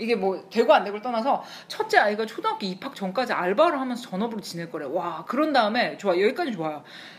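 A woman's fairly high voice at a very fast pace, with very wide pitch swings and noticeable background noise. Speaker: podcast co-host, advice show. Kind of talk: casual chat.

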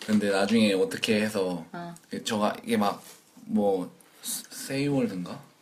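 A man talks very slowly while noticeable noise runs in the background. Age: 20s. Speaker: working holiday maker. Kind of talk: casual chat.

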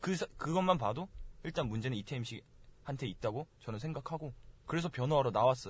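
A man speaks at a fairly quick pace with lively intonation and a somewhat breathy voice against a quiet background. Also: medium pitch for a man. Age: 20s. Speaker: university student. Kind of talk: casual chat.

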